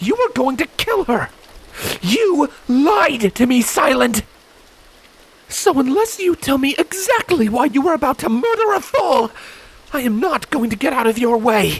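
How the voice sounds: Putting on a character voice, a man speaks at a fairly slow pace with an extremely high pitch, a slightly husky edge, and big pitch swings.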